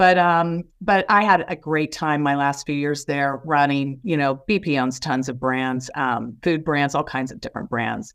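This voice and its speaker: Against a quiet background, a woman with an American accent and a very deep, low pitch talks at a fairly slow pace, with hardly any pauses and ordinary pitch variation. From US Midwest, Indiana. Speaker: business executive. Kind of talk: interview.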